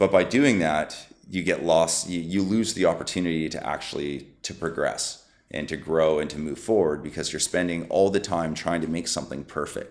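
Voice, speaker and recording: Very deep and low in pitch, a man speaks at a moderate pace. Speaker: supplement company COO. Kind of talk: podcast interview answer. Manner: passionate.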